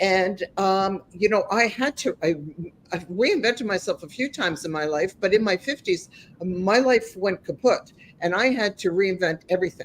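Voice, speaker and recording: A woman's plain, everyday voice, medium in pitch, at a moderate pace with ordinary pitch variation. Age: 60s. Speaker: life coach and podcast host. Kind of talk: interview.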